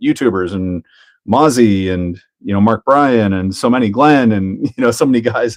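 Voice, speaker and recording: In a Canadian accent, a man speaks with an ordinary speaking voice at a medium pitch. His pace is moderate, with ordinary pitch variation. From Canada. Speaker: RC hobby YouTuber. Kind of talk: live stream chat while building a model. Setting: live stream. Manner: casual, relaxed.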